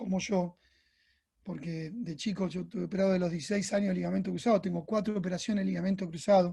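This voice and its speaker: This man has a high pitch and a dark, mellow tone. He talks at a fairly quick pace with ordinary pitch variation. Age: 50s. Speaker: orthotist. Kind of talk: lecture. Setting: presentation to medical team.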